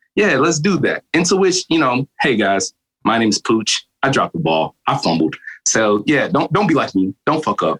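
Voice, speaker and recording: Here a man speaks with a fairly high pitch, very wide pitch swings and vocal fry. His loudness stays very even at a moderate pace, and the sound is dry and close with no echo. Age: 20s. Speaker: guest, podcaster. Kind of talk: casual banter podcast chat.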